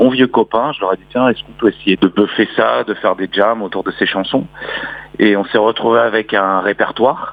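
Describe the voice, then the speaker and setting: A man speaks in a fairly low voice at a moderate pace. Noticeable background noise runs under him. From Normandy, France. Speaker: singer and poet. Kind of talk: radio interview. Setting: phone call. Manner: swallows words.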